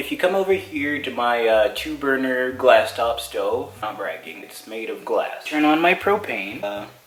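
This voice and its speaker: A man talks at a moderate pace with hardly any pauses, his loudness swinging widely. The room echo is audible, and background noise is noticeable. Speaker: cooking vlogger. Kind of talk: casual vlog tutorial. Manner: animated.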